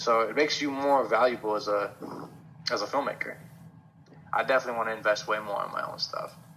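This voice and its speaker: Despite long, frequent pauses, a man talks at a very fast pace with fairly even intonation over noticeable background noise. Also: medium pitch for a man. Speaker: film student. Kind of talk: interview answer.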